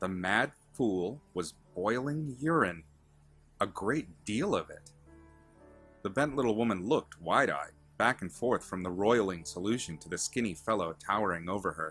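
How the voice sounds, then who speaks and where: Music plays in the background while a man speaks at a moderate pace with a fairly low pitch. His intonation is lively, and his loudness swings widely. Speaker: author reading own fiction. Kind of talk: fantasy story narration.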